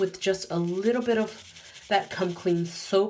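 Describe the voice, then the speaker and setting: A very slow pace of speech over noticeable background noise. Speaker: beauty vlogger. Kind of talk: tutorial. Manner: casual.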